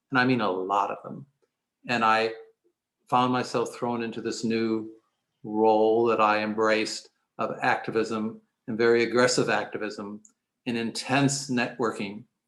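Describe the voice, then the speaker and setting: A man with a medium pitch speaks at a moderate pace in a monotone, flat intonation. He leaves long, frequent pauses, and the recording is very clean with a silent background. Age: 70s. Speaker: physician and LGBT activist. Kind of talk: panel discussion. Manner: halting, with fillers.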